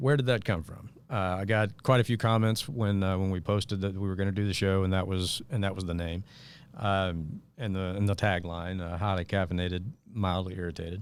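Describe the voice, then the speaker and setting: A man with a slight Mississippi accent talks at a fairly low pitch. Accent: Southern US, slight Mississippi touch. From US South, northeast Arkansas (Jonesboro). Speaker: podcast host, former political worker. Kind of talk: casual talk show monologue. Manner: hesitant, many fillers.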